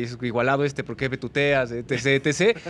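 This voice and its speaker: This man speaks at a medium pitch in a Mexican accent. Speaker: sports broadcaster. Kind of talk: casual interview chat.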